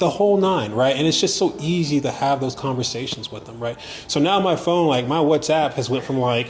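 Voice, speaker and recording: A man with an American accent talks at a fairly high pitch and a fairly quick pace. His pitch varies in an ordinary way, with noticeable background noise behind him. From United States. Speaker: tourist. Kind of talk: casual chat. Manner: animated.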